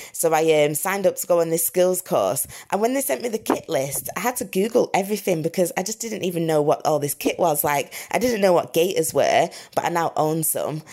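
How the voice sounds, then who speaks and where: Someone speaks with a Lancashire accent at a fairly quick pace. The intonation is lively. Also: woman, fairly low pitch for a woman. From northern England, Blackburn, Lancashire. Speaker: founder of a hiking community group. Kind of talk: casual interview chat. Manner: casual, filler-heavy speech.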